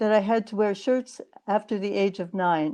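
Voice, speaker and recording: A woman with a Canadian accent has a dark, mellow tone. She keeps a moderate pace and fairly even intonation. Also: quiet background. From Canada. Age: 70s. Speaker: lecturer, feminist activist. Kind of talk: lecture.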